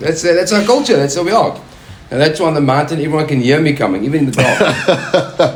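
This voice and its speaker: Amid noticeable background noise and audible room echo, a man talks at a fairly quick pace in an animated tone, his fairly high pitch moving with lively intonation while his loudness stays very even. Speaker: mountain guide. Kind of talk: casual chat.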